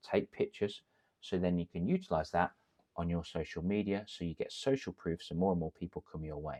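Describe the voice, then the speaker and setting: The sound is dry and close with no echo, and the speaker has an English accent. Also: man. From England. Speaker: confidence coach, ex-teacher. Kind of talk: tutorial. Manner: animated.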